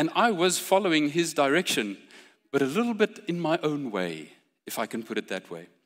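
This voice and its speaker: With vocal fry and a fairly high pitch, a man speaks at a fairly quick pace, his pitch swinging very widely. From South Africa, Pretoria. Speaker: preacher. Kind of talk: sermon.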